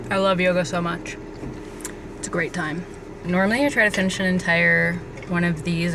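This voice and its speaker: Over noticeable background noise and audible room echo, a woman with a fairly low pitch and ordinary pitch variation speaks at a fairly quick pace with long, frequent pauses. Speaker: vlogger. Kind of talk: casual vlog talk to camera. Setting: in public, post office and yoga studio. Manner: chatty; whispering.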